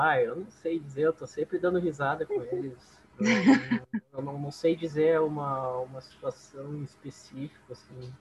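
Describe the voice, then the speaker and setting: With a southern Brazilian accent, a man speaks at a moderate pace and fairly high pitch, his intonation fairly even but his loudness swinging a lot. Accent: gaúcho Brazilian Portuguese. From southern Brazil, Esteio (Rio Grande do Sul). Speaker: bass player in a band. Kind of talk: casual interview chat.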